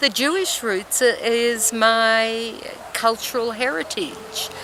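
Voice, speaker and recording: A woman with an Australian accent speaks at a fairly high pitch over noticeable background noise. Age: 60s. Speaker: interviewee tracing family history. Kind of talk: interview testimony.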